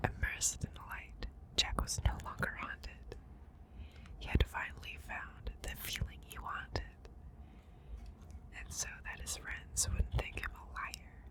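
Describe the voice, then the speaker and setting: Whispering at a fairly slow pace, a woman leaves long, frequent pauses, her loudness swinging widely over noticeable background noise. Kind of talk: ASMR storybook reading to help sleep. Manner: whispered, soft.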